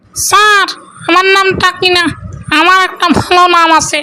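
This cartoonish character voice sits at an extremely high pitch with monotone, flat intonation. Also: moderate pace. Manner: affected, overly polite.

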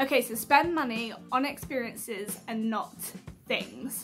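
Clear music plays behind a woman with a British accent. Her pitch is fairly high, with ordinary pitch variation. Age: 20s. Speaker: YouTuber and health worker. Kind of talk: casual talk to camera. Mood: warm, earnest. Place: home room. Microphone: phone near.

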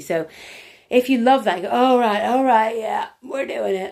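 Against a quiet background, a woman speaks at a moderate pace in a warm tone. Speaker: EFT tapping coach and workshop leader; coach or wellness teacher. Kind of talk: casual live stream talk. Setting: live video stream. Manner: chatty, rambling with many fillers; warm and effusive. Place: home room. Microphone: phone near.

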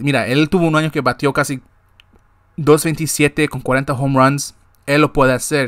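Over a quiet background, a man speaks at a fairly slow pace with a fairly high pitch and fairly even intonation. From Guatemala. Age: 20s. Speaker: sports podcast host; sports show host. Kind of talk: casual monologue. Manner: halting, with many repetitions. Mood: frustrated but hopeful. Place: home room. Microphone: webcam.

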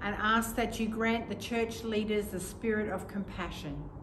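A woman speaks at a fairly high pitch. Background noise is noticeable. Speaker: vicar leading evening prayer. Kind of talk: fervent intercessory prayer, earnest and pleading, then calm devotional reading. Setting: church service recorded on video. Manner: earnest, reverent, slow and measured; calm, gentle, contemplative. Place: church. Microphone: camera far.

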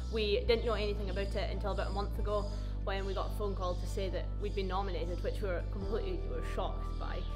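A woman with a Shetland accent at a very fast pace, with clear music in the background. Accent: Shetland Scottish. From Shetland, Scotland. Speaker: farmer. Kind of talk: interview answer. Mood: proud, warm. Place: farm machine. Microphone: lapel.

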